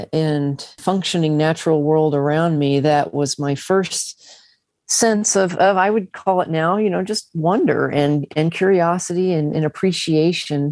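Over a quiet background, a woman with an American accent talks at a fairly slow pace in an ordinary speaking voice, her pitch fairly low and her intonation fairly even. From US South, Arkansas Ozarks. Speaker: astrophysicist. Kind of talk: interview.

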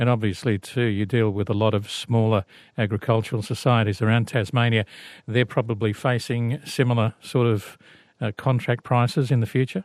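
A man with an Australian accent speaks at a medium pitch with fairly even intonation and very even loudness. The sound is dry and close with no echo, against a quiet background. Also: fairly quick pace. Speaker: radio host. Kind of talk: radio program hosting. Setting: studio.

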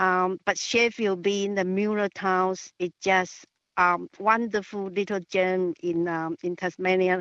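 Fairly slow speech in a Chinese accent, with fairly even intonation. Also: woman. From China. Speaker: caller. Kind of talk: talkback phone call. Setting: phone call. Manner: halting, many fillers.

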